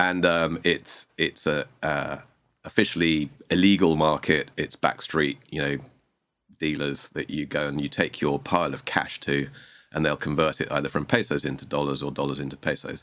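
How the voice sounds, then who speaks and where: This man has a very deep, low pitch and vocal fry in a southern English accent. His pace is moderate. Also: fairly even intonation. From Sussex, southeast England. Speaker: investment director. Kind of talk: casual interview. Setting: studio.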